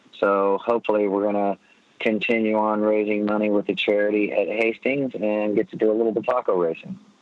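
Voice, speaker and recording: A man speaks in an ordinary speaking voice with a fairly low pitch. His intonation is fairly even and his loudness very even. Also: fairly quick pace. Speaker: former motorcycle racer, charity organizer. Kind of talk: casual chat. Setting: phone call.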